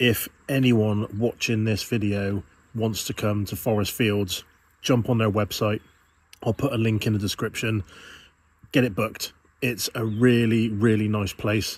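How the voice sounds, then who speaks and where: Fairly low, relaxed male voice with a British accent, fairly slow and monotone with flat intonation, on a very clean recording with a silent background. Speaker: van life vlogger. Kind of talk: casual vlog narration. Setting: outdoors.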